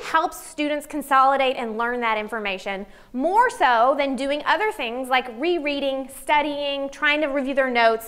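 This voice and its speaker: A woman speaks with a high pitch in a Southern US accent. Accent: noticeable Southern US. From US South, Arkansas. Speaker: psychology professor; psychology professor presenting. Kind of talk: conference talk. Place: meeting room. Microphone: lapel.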